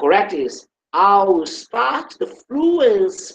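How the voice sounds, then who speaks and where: A man is speaking here. He has a Brazilian Portuguese accent. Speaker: English teacher. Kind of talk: online class.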